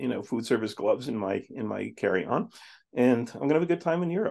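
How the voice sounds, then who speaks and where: The voice has vocal fry and moves at a fairly quick pace. The background is quiet. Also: man. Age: 60s. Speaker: psychotherapist. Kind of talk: podcast interview. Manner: many filler words and restarts.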